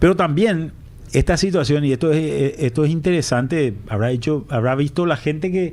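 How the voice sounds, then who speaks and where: A man with a plain, everyday voice speaks at a moderate pace, his pitch rising and falling in an ordinary way. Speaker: economist, former finance minister. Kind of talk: radio interview.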